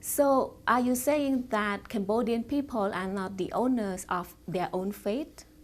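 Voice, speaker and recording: With an unremarkable speaking voice, a woman talks at a fairly slow pace and fairly high pitch, with ordinary pitch variation and hardly any pauses. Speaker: journalist. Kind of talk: interview questions.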